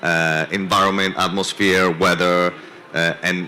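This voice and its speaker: A man with a non-native accent speaks at a moderate pace in a very deep, low voice. Noticeable background noise can be heard. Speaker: venture capital investor. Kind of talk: panel discussion. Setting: conference stage with audience.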